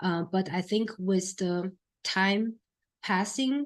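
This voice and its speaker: A woman talks with a Chinese accent. Her pace is fairly slow. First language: Mandarin Chinese. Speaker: film critic and producer giving a talk. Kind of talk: lecture. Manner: halting, many fillers.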